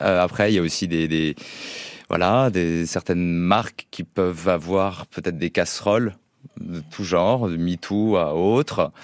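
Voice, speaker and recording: Speaking at a fairly slow pace, a man with a very deep, low voice shows ordinary pitch variation in a dry, close recording with no echo. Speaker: music agency co-founder.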